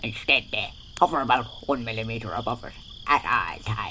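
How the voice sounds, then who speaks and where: Over clear background noise, a man puts on a character voice at a medium pitch and a fairly quick pace, with big swings in loudness. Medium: comedy sketch. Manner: solemn, deadpan.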